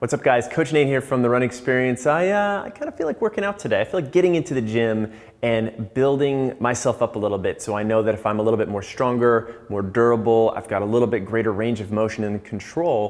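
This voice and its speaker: A man rushes along at a very fast pace with hardly any pauses. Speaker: running coach. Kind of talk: tutorial. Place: gym. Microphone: lapel.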